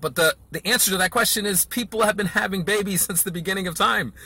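Raising and projecting his voice, a man speaks at a fairly quick pace with a bright, sharp tone and a dry sound with no echo. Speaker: marketing coach. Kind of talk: casual vlog lecture. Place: car. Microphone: phone near.

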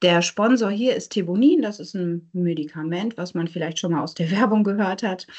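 Woman with lively intonation against a quiet background. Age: 30s. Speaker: neuropsychologist; presenter. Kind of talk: lecture. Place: home room. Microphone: video call.

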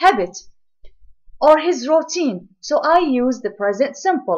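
The woman's delivery is fairly unhurried. Her pitch leaps across a very broad range. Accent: Arabic. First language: Arabic. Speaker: English teacher. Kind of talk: lecture.

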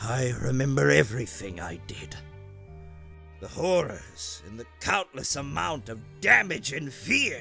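Over clear background music, a man puts on a character voice at a medium pitch, speaking fairly slowly with very wide pitch swings. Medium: dub.

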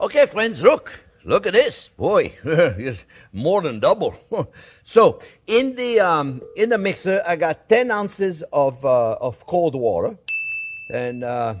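A man talks at a very slow pace in a French accent. Music plays in the background. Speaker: chef. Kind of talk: cooking demonstration to camera. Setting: kitchen. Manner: upbeat, enthusiastic. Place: kitchen. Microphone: lapel.

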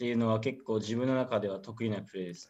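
Ordinary pitch variation in the voice of a man. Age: 20s. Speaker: professional footballer. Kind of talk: interview; interview answer. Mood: calm, modest. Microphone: video call.

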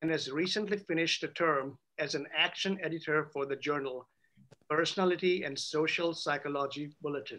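A man speaks at a fairly quick pace, his intonation fairly even. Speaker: attorney moderating a Q&A. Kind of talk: introduction of speakers, read biography. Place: office. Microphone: video call.

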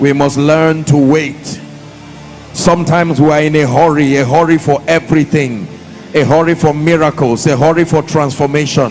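A man at a moderate pace with fairly even intonation, music in the background. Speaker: preacher. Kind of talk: sermon. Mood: soft, prayerful, meditative. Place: church. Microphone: handheld.

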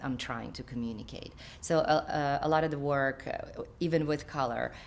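The speaker has a Ukrainian accent. The pace is fairly slow. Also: woman. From Ukraine. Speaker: artist. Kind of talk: interview answer. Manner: hesitant, many fillers. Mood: thoughtful, calm. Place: home room.

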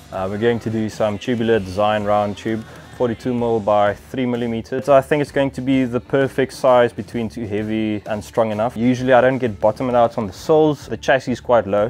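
Faint music plays in the background. A man speaks at a fairly quick pace with fairly even intonation. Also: hardly any pauses. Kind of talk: casual vlog tutorial. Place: garage. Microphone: lapel.

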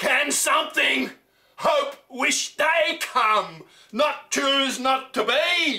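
With a quiet background, a raised, projected voice holds very even loudness at a very slow pace. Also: man, extremely high pitch for a man, ordinary pitch variation. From Australia. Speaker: poetry reciter. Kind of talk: poetry reading. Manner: loud, forceful. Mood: anguished, intense. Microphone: camera far.

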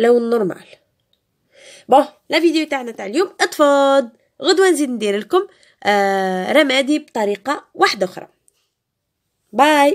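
Long, frequent pauses break up a woman's speech at a fairly slow pace. Her voice is high in pitch, with very wide pitch swings. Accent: Algerian. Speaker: beauty youtuber. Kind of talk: tutorial. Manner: casual, code-switching.

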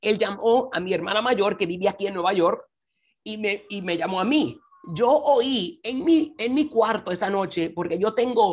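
Lively intonation from a woman at a fairly slow pace against a quiet background. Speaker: conference speaker. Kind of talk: devotional talk. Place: home room. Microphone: video call.

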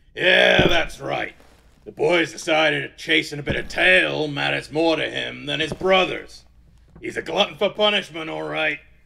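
Gruff-voiced, a man speaks at a moderate pace. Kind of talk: rough swearing. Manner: gruff, mocking, hearty.

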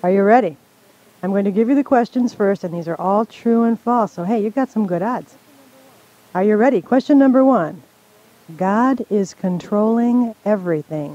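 The voice moves at a moderate pace in a dry sound with no echo. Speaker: radio co-host and Bible teacher. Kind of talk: playful quiz reading. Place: studio.

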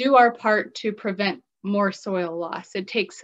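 The background is quiet as a woman talks. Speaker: presenter. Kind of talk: lecture. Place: home room. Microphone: webcam.

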